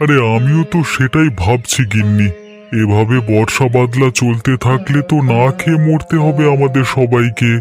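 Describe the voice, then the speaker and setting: Over clear background music, a man performs a cartoonish character voice at a medium pitch. He talks at a fairly slow pace. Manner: worried.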